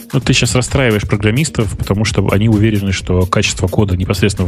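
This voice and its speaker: A man speaks very fast in a fairly low voice, with ordinary pitch variation, very even loudness and noticeable background noise. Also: hardly any pauses. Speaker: tech podcast co-host. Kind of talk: casual chat.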